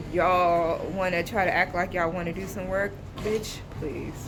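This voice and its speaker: A woman speaks at a medium pitch and a moderate pace. Noticeable background noise and audible room echo can be heard. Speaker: vlogger. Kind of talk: casual vlog rant. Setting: waiting area of a government office. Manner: loud; animated.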